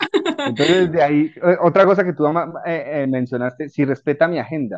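Ordinary pitch variation from a man with a fairly high pitch, at a moderate pace against a quiet background. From Colombia. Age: 40s. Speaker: civil engineer and personal development coach. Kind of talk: casual interview chat. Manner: halting.

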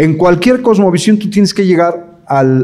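A man's high-pitched voice with lively intonation, audible room echo and noticeable background noise. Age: 60s. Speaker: pastor and English teacher giving a talk to parents. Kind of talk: lecture. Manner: halting, many fillers and repetitions.

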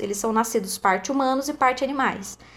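A woman is speaking. Her intonation is lively. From Brazil, countryside. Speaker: podcast host. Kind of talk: casual chat.

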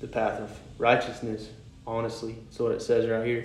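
A man with a medium-pitched voice talks amid audible room echo. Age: 20s. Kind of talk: devotional talk. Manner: halting.

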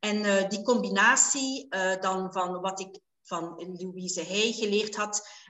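Speaking at a very slow pace, a woman is heard with audible room echo. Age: 50s. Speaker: life coach and hypnotherapist. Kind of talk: interview. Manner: hesitant, many filler sounds.

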